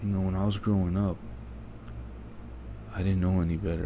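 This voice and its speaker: A man speaks in a very deep, low voice with a dark, mellow tone. He sounds somewhat breathy, and the room echo is audible. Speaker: vlogger. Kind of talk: personal monologue. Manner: soft-spoken. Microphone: quiet recording.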